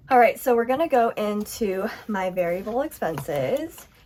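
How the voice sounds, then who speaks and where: In an American accent, a woman with a fairly high pitch sounds upbeat, her intonation lively, against noticeable background noise. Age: 20s. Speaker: budgeting YouTuber. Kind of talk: casual vlog tutorial. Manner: upbeat, chatty.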